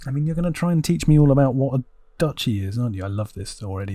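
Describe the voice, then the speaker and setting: On a very clean recording with a silent background, a man speaks very fast at a medium pitch with very wide pitch swings. His tone is dark and mellow, and somewhat breathy. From England. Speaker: gaming YouTuber. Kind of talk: let's play commentary. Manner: animated; halting.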